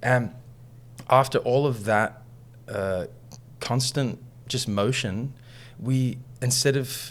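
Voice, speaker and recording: A man with an Australian accent and medium pitch, a very slow pace, long, frequent pauses and fairly even intonation, on a very clean recording with a silent background. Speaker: musician and coach. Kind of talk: interview storytelling.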